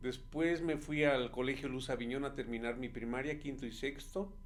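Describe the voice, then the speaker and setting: A man speaks with audible room echo. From Mexico City, Álvaro Obregón. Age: 50s. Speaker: neighborhood representative. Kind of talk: interview. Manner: halting.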